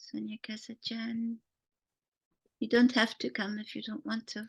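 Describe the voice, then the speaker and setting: In a dry, close recording with no echo, a woman talks at a fairly slow pace in a fairly high, somewhat breathy voice, her intonation monotone and flat while her loudness swings widely. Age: 70s. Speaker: workshop leader, Jungian teacher. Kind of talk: online workshop discussion.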